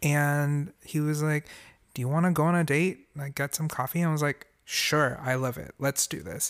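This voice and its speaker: Recorded very cleanly with a silent background and a dry, close sound with no echo, a man speaks at a moderate pace with a fairly high pitch and fairly even intonation. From Singapore, moved to US at 10. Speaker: musician and voice actor. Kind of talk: casual chat.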